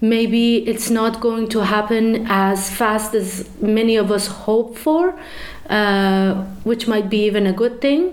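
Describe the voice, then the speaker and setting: A woman with a Persian accent speaks very slowly at a fairly high pitch. Her loudness stays very even, and her pitch varies in an ordinary way. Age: 30s. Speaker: activist, student. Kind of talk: interview.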